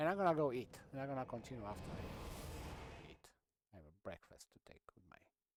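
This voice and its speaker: A man with a Romanian accent speaks in a fairly high voice with lively intonation. His loudness swings widely. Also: fairly quick pace. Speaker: gaming streamer. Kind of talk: casual gameplay commentary.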